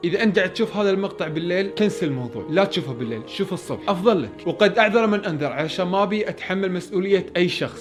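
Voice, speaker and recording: Music plays in the background as the voice runs at a fairly quick pace with hardly any pauses. The intonation is lively. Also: man. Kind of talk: horror story narration. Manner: casual, conversational.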